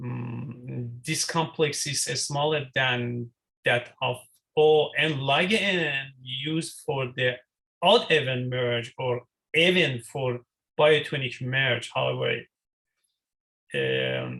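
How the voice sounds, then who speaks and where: A man talks at a very slow pace with long, frequent pauses. His medium-pitched voice has a bright, sharp tone and fairly even intonation. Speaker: student presenter. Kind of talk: presentation. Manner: halting.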